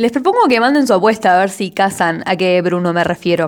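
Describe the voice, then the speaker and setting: This is a woman at medium pitch with ordinary pitch variation. It is a normal speaking voice. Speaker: amateur poet and podcaster. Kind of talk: casual monologue podcast.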